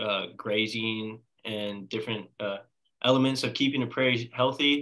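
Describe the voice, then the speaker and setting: Using a plain, everyday voice, this man holds a moderate pace, medium pitch and fairly even intonation. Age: 20s. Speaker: college student. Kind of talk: casual chat.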